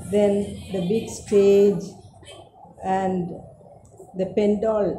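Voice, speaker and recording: Music plays in the background. A woman is speaking. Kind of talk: interview answer. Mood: warm, reminiscing, smiling. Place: home room. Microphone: camera far.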